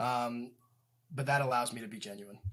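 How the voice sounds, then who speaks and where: The man talks fairly quickly, his voice somewhat breathy. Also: very clean recording, silent background. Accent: American. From Indiana, US Midwest. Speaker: real estate agent and property manager. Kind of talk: casual interview. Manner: many fillers and repeated words.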